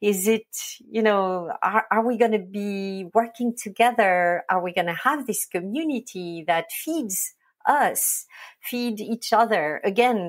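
With a French accent, a woman speaks at a fairly slow pace and a fairly high pitch with ordinary pitch variation. The recording is very clean with a silent background. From France, Provence. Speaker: agency owner. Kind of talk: interview.

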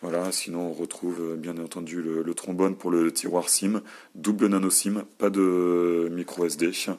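This man's very deep, low voice stays monotone and flat throughout. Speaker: tech reviewer. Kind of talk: product review video. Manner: hesitant, many fillers and repetitions.

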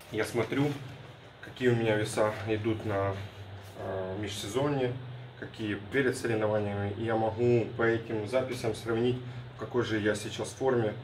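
A man's flat, monotone delivery broken by long, frequent pauses, over light background noise. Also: moderate pace. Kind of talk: casual vlog chat. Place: gym. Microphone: phone near.

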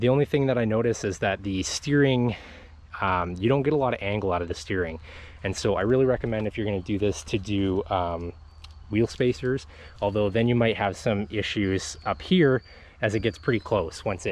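A man speaks in an ordinary speaking voice at a fairly low pitch and a fairly quick pace. His pitch varies in an ordinary way, and the sound is dry with no echo. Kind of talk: casual walkaround commentary. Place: open country. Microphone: phone near.

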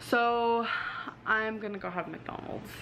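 Over light background noise, a woman speaks at a very slow pace with ordinary pitch variation. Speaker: food vlogger. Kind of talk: casual vlog chat.

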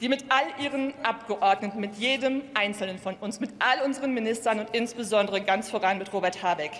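Here a woman talks at a moderate pace. Her pitch variation is ordinary. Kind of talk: parliamentary speech. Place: hall. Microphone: podium.

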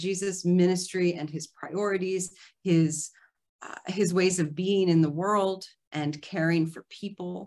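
A woman speaks at a very slow pace with ordinary pitch variation, set against a quiet background. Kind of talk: lecture. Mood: earnest, warm. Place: home room. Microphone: video call.

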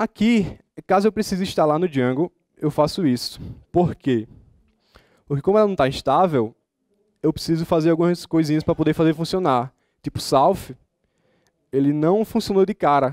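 A man with a fairly high pitch and ordinary pitch variation talks at a moderate pace with long, frequent pauses. The sound is dry with no echo, and the background is quiet. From Brazilian Northeast. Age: 20s. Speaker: software developer and student; conference speaker. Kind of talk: conference talk. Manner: casual, informal. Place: hall.

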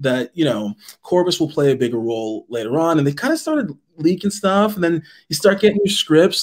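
The man's intonation rises and falls with liveliness. Nothing else is audible behind him. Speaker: voice actor. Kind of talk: casual panel chat. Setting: video call. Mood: amused, reflective. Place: home room.

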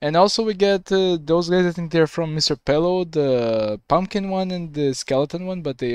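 A man speaks at a moderate pace against a quiet background, the sound dry with no echo. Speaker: reaction video creator. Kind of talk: casual reaction commentary. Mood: curious, mildly confused. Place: home room. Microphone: headset.

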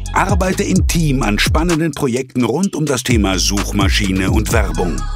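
With music in the background, this man talks at a fairly slow pace. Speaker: voice-over artist. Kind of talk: recruiting trailer voice-over. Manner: dramatic, motivating.

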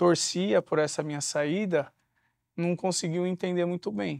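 Over a quiet background, a man with a fairly high pitch speaks at a fairly slow pace with ordinary pitch variation, the sound dry with no echo. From São Paulo, Capão Redondo; São Paulo. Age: 30s. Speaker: former prisoner, social entrepreneur and speaker. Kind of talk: interview. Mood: reflective, earnest. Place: studio.

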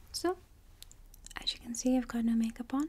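A woman talks in a soft-spoken manner. Her tone is gentle. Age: 20s. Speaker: ASMR creator. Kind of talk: ASMR personal attention chit-chat. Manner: soft-spoken, gentle, reassuring. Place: home room. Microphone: studio mic.

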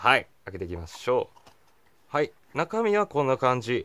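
Pitch swings very widely as the man talks at a moderate pace. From Japan. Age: 20s. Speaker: gadget reviewer YouTuber. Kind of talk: casual product review talking to camera. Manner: cheerful, energetic. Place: home room. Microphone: phone near.

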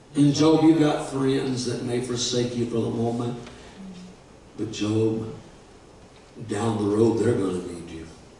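Pausing often and at length, a man talks fairly slowly with ordinary pitch variation and big swings in loudness, in a room with strong echo and light background noise. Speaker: guest preacher. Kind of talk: sermon; impassioned sermon in full flow, rousing call-and-response. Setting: church. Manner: fervent, rising and emphatic, building to an exhortation. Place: church.

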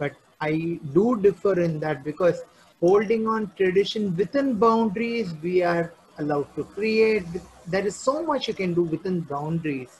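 Light background noise sits behind speech at a moderate pace. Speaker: dance teacher, interview guest. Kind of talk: interview answer. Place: home room. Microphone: video call.

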